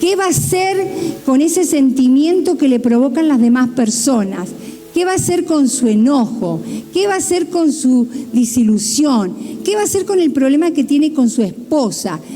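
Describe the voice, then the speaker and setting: Against noticeable background noise and audible room echo, a woman talks at a moderate pace in a high pitch, her intonation lively and her loudness very even. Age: 60s. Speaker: pastor. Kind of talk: sermon.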